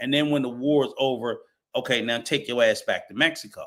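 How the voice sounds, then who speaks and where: A man speaks with an American accent at a fairly high pitch. His tone is bright and sharp, and his pace moderate. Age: 60s. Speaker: travel show panelist. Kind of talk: heated debate.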